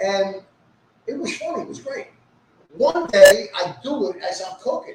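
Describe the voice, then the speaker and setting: Here a man speaks with a New York accent. He keeps a moderate pace. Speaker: social media personality. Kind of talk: casual chat. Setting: live stream. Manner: animated.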